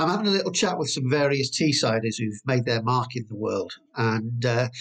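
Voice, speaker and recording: A man's lively intonation carries a slight breathiness as he talks at a middling speed. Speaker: podcast host. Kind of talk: casual interview chat.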